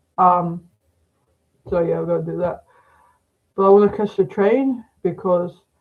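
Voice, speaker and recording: A man with an Australian accent speaks at a fairly slow pace. His pitch is high and his intonation fairly even. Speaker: psychic medium. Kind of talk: casual livestream chat. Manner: hesitant, many fillers.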